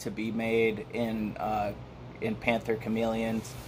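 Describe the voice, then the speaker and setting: A man speaks with an American accent. His pitch sits in the medium range. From Michigan. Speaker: live streamer. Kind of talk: casual chat. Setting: live stream. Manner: halting, many fillers.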